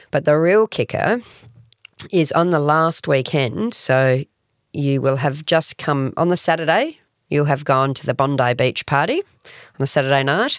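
Her very deep, low voice moves at a fairly slow pace, and the woman's recording has a dry, close sound with no echo. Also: ordinary pitch variation, very clean recording, silent background. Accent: Australian. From Australia, Adelaide. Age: 40s. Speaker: festival CEO. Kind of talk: interview.

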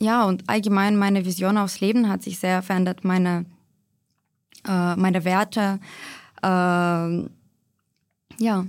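At a very slow pace, a woman talks in a medium pitch with monotone, flat intonation. Long, frequent pauses break up her speech on a very clean recording with a silent background. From Ukraine, Kyiv. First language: Ukrainian or Russian (speaking German). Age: 20s. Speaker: pharmacist in training. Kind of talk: interview, personal account.

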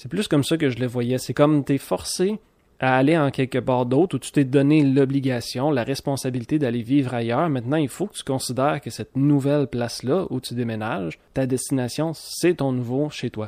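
In a very clean recording with a silent background, a man talks with hardly any pauses, with a Quebec accent. His voice has a medium pitch, a dark, mellow tone and ordinary pitch variation. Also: moderate pace. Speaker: podcast host. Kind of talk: solo monologue podcast.

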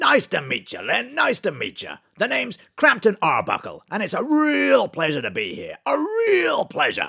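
A man performs a put-on character voice at a moderate pace, his loudness swinging widely. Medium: comedy sketch. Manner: repetitive, emphatic, keeps repeating phrases.

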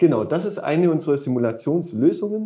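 His tone is dark and mellow. The man's pitch swings very widely. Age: 30s. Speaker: start-up founder and managing director. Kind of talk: interview. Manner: halting, many filler sounds.

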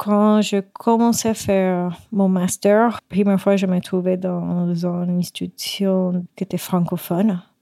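With a Spanish accent, a woman speaks at a medium pitch in a dark, mellow tone with fairly even intonation. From Puerto Rico. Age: 30s. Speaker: guest sharing her life story. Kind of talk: personal testimony. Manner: halting.

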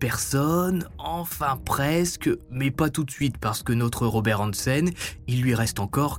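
Delivering a dramatic tone at a very slow pace, a man of medium pitch uses very wide pitch swings. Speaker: true crime podcaster. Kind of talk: true-crime narration, scripted storytelling. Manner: informal, conversational and dramatic.

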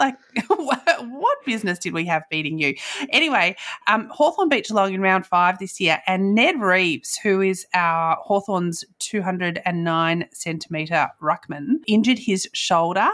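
A woman in an Australian accent at a fairly slow pace, with lively intonation. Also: medium pitch for a woman. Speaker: podcast host. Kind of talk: casual chat.

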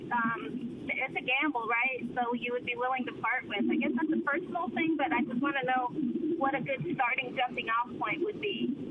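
A woman's high-pitched voice at a moderate pace, with lively intonation, very even loudness and noticeable background noise. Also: hardly any pauses. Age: 50s. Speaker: caller. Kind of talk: call-in question.

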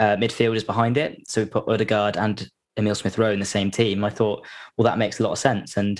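Quiet surroundings and an unforced reading voice.

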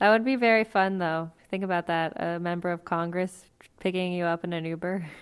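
Fairly quick, fairly low speech from a woman in a plain, everyday voice, fairly even in intonation, in a very clean recording with a silent background. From US, Mexican-American family. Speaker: political candidate. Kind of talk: interview. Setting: at her grandmother's house.

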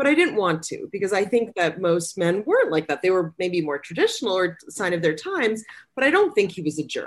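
A woman's unremarkable speaking voice at medium pitch, with lively intonation and a fairly quick pace. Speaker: author. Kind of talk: casual chat.

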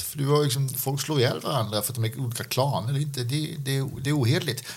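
A man's somewhat breathy voice at medium pitch, fairly quick and with hardly any pauses. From Skåne, southern Sweden. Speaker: podcast co-host. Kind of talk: casual Q&A discussion.

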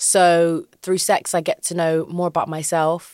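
In a very clean recording with a silent background and a dry, close sound with no echo, a woman speaks at a fairly low pitch. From London, England. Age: 20s. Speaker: DJ and entertainer. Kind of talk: casual chat.

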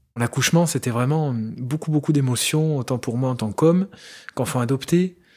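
On a very clean recording with a silent background, a man speaks at a medium pitch with a dark, mellow tone and ordinary pitch variation. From France, Loire (Saint-Étienne area). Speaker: interviewee sharing adoption story. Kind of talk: personal testimony. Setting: at home. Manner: hesitant, with fillers.

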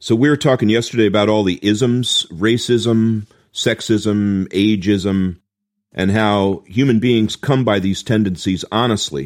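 An unremarkable speaking voice from a man, fairly low in pitch and fairly slow, with very even loudness and ordinary pitch variation, on a very clean recording with a silent background. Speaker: podcast co-host. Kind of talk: podcast discussion.

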